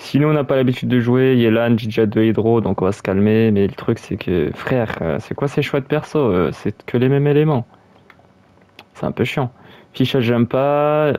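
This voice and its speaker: Here a man speaks in a dark, mellow tone at a medium pitch. His pitch variation is ordinary and his pace moderate. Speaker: gaming YouTuber. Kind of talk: gameplay commentary. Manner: halting.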